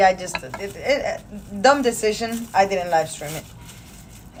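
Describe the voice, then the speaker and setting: Very slow speech from a woman with a Spanish accent at a medium pitch, with ordinary pitch variation and noticeable background noise. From Peru. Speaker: streamer. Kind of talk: casual chat. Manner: casual, halting.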